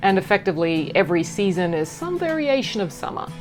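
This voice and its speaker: A woman with an Australian accent speaks at a fairly quick pace in an upbeat tone with lively intonation. Music sits in the background. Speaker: voice actor. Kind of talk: casual talk to camera. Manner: upbeat, humorous.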